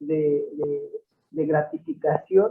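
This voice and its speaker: This is a man speaking. He has a Veracruz accent. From Mexico, Puebla state, Totonac village. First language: Totonac (speaking Spanish). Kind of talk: interview. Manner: hesitant, many repetitions and fillers.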